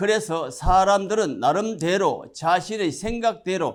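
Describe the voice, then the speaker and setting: On a very clean recording with a silent background, a man speaks fairly slowly in a high voice with ordinary pitch variation. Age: 70s. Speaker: religious messenger. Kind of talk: prepared address. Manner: formal.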